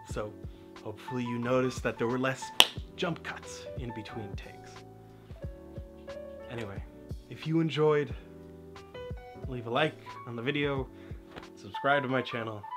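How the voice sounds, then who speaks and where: Over clear background music, a man talks at a moderate pace with ordinary pitch variation and long, frequent pauses. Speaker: video creator. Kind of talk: casual vlog chat. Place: home room.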